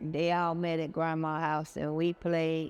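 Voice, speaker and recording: Music plays in the background as a man with a high pitch speaks in a monotone, flat intonation. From US South, Charlotte, North Carolina. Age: 70s. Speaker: local resident sharing memories. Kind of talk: personal storytelling. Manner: halting.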